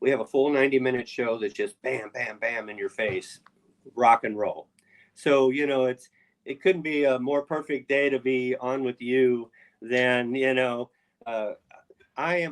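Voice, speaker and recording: A plain, everyday voice moves at a fairly slow pace with fairly even intonation. The sound is dry and close, with no echo. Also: man, medium pitch for a man. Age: 60s. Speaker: rock drummer. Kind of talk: interview.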